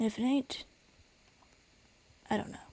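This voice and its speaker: A woman's somewhat breathy, dark and mellow voice with ordinary pitch variation. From United States. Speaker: gaming YouTuber. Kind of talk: gameplay commentary. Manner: animated.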